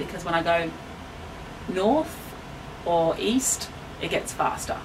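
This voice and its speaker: Very slow Australian-accented speech from a woman with a fairly low pitch, long, frequent pauses, audible room echo and noticeable background noise. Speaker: town resident. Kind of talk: interview. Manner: consciously slowing down.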